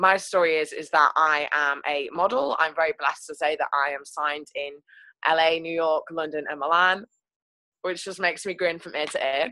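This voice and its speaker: Speaking at a moderate pace with fairly even intonation, a woman has a fairly low pitch and a bright, sharp tone, recorded dry with no echo against a quiet background. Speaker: guest. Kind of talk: personal story talk. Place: home room. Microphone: video call.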